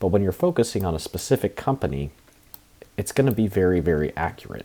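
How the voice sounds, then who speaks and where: A man speaks at a very fast pace in a very deep, low pitch. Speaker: trading video creator. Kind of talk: screen-share tutorial. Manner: casual with many fillers.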